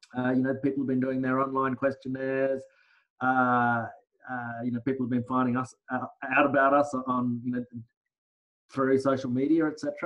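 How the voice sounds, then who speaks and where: In an Australian accent, a man talks at medium pitch and a moderate pace, his intonation monotone and flat, with long, frequent pauses. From Australia, Brisbane. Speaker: lawyer. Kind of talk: casual interview. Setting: video call.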